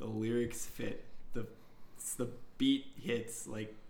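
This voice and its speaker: Audible room echo around a man's speech, ordinary in its pitch variation. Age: 20s. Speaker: podcast co-host. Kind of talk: casual chat.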